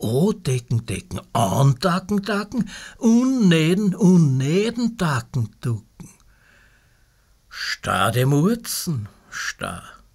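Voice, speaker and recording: Speaking with a Viennese accent, a man goes at a very slow pace. His pitch swings very widely. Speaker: poet. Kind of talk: sound poetry reading.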